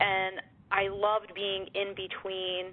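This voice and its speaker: Her medium-pitched voice carries an American accent as this woman speaks. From US, Pittsburgh, Pennsylvania. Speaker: tech executive. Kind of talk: interview.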